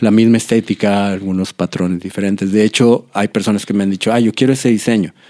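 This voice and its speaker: A man delivers his words at a fairly quick pace in a dark, mellow tone, with a fairly low pitch and fairly even intonation. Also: dry, close sound with no echo. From Monterrey, northern Mexico. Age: 40s. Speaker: tattoo artist and musician. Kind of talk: interview.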